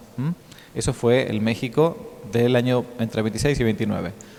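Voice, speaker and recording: Talking at a fairly quick pace, a man with a medium-pitched voice comes through over noticeable background noise. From Argentina, Buenos Aires. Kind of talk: lecture. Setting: conference hall with audience. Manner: hesitant, filler-heavy.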